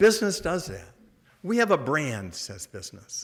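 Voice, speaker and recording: A man with an American accent speaks with very wide pitch swings. The recording is very clean, with a silent background. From US Midwest, Detroit. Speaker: Jesuit priest, order treasurer. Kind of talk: talk with audience Q&A. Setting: luncheon event, stage with audience. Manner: casual, halting with repetitions.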